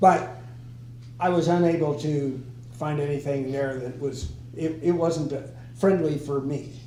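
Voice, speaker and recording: A man's fairly high, somewhat breathy voice with a dark, mellow tone, fairly even intonation and a fairly slow pace broken by long, frequent pauses, plus audible room echo. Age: 80s+. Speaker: former local politician. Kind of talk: casual group discussion.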